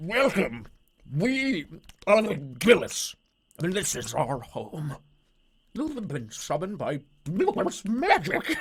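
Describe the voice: In a gravelly put-on character voice of middle pitch, the speaker swings very widely in pitch, moving at a fairly slow pace with long, frequent pauses.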